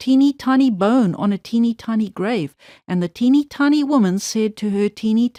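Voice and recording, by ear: Someone reads aloud in a natural voice. The pitch varies in an ordinary way.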